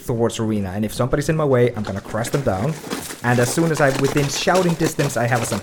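What we hear is plain reading aloud.

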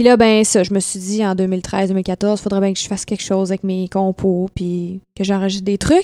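In a Quebec accent, a woman with a dark, mellow tone and medium pitch speaks in a monotone, flat way with hardly any pauses, the sound dry and close with no echo in a very clean recording with a silent background. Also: moderate pace. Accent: Québécois French. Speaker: singer. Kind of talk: casual chat. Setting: at her home.

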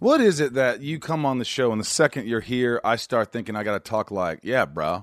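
A man with an unremarkable speaking voice and an American accent talks at a fairly quick pace with hardly any pauses, a medium pitch, and ordinary pitch variation, in a dry, close sound with no echo. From Indiana. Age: 40s. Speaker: podcast host. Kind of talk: casual interview chat.

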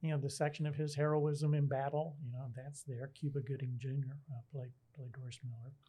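A man with a fairly high pitch and a dark, mellow tone speaks at a fairly quick pace in a flat monotone, somewhat breathy, with hardly any pauses. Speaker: local journalist. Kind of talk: casual chat.

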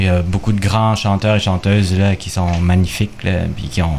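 Against noticeable background noise, a man with a very deep, low pitch talks at a fairly slow pace with fairly even intonation. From Quebec, of Chilean descent. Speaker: guitarist. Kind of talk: radio interview.

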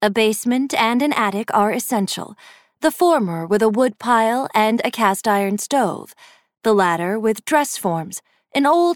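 Captured in dry, close sound with no echo on a very clean recording with a silent background, a woman speaks in a plain, everyday voice. Her pitch is fairly high, her pace fairly slow, and her intonation lively. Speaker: audiobook narrator. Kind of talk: dramatic narration. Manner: hushed, eerie, slow and measured.

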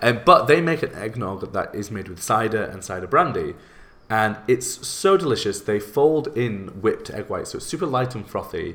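With a British accent, a man speaks at a moderate pace and medium pitch, using lively intonation and big swings in loudness. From UK. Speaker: podcast host and baker. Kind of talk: casual interview chat.

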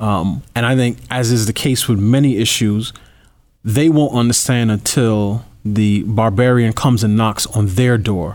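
A man's medium-pitched, ordinary speaking voice, fairly slow in pace, with ordinary pitch variation and very even loudness, in a very clean recording with a silent background. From New York. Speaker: political commentator. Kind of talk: interview.

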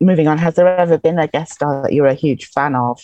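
A woman with an English accent, fairly quick in pace, dark and mellow in tone, with a dry, close sound and no echo. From England. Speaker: fan. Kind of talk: casual chat. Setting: video call.

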